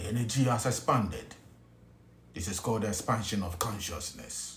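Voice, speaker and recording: In a room with audible echo, a man with a Ghanaian accent talks at a moderate pace, his fairly low, somewhat breathy voice showing ordinary pitch variation. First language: Twi. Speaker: spiritual teacher. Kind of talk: spiritual teaching talk. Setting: hotel room. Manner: whispering.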